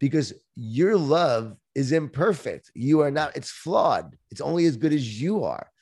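A man with a normal speaking voice talks at a fairly high pitch, fairly slowly and with hardly any pauses, his intonation lively. The recording is very clean, with a silent background. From Long Island, New York. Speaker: author and speaker. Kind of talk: interview.

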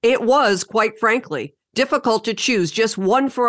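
A woman's plain, everyday voice, fairly high in pitch with ordinary variation, against a quiet background. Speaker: podcast host and wildlife rehabilitator. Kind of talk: interview.

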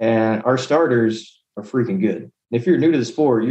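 With an American accent and a plain, everyday voice, this man speaks at a fairly quick pace. His medium pitch carries lively intonation. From San Antonio, Texas. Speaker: war veteran. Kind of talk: casual chat.

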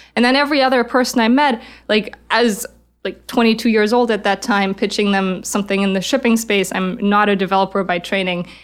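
A woman with a German accent speaks at a fairly quick pace, her fairly high voice keeping a fairly even intonation. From Germany. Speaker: startup founder and CEO. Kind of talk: interview.

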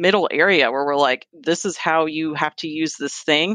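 A woman speaks with an American accent and a very deep, low pitch. The background is quiet. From Virginia, US (Fairfax). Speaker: sales and marketing manager at an IT company. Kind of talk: casual interview.

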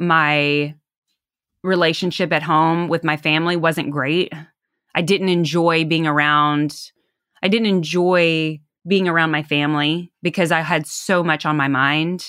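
A woman with a Southern US accent speaks fairly slowly at a fairly low pitch, her tone bright and sharp and her intonation monotone and flat. Her loudness stays very even on a very clean recording with a silent background. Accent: Southern US twang. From US South. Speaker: salesperson and podcast guest. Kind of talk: casual interview chat.

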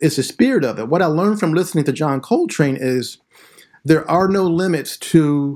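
A man with an ordinary speaking voice, a fairly high pitch, an American accent and lively intonation, at a moderate pace, in a very clean recording with a silent background. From southeastern Pennsylvania, Philadelphia suburbs. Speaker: high school English teacher and author. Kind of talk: interview conversation.

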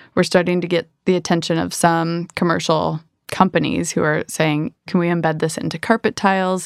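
An ordinary speaking voice from a woman, fairly low in pitch with ordinary pitch variation, at a moderate pace, in a very clean recording with a silent background and a dry, close sound with no echo. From Michigan, US. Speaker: entrepreneur. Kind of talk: interview.

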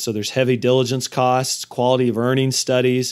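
An unremarkable speaking voice, a man at medium pitch and moderate pace, on a very clean recording with a silent background. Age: 40s. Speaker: podcast host, M&A advisor. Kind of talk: solo podcast monologue on finance.

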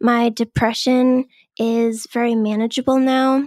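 A woman's normal speaking voice, fairly high-pitched, at a fairly slow pace with fairly even intonation, dry and close with no echo, on a very clean recording with a silent background. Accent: American. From Boston area, US. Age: 30s. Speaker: scientist in recovery from alcohol. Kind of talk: interview.

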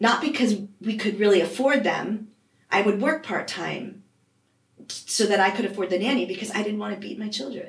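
With an American accent, a somewhat breathy voice speaks at a moderate pace with ordinary pitch variation and audible room echo. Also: woman, medium pitch for a woman. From US Northeast (Vermont). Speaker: life coach. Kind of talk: interview.

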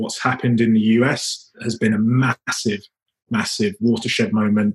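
At a moderate pace, a man with a British accent speaks in a somewhat breathy, flat monotone at a medium pitch. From UK. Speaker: project manager. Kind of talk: interview answer.

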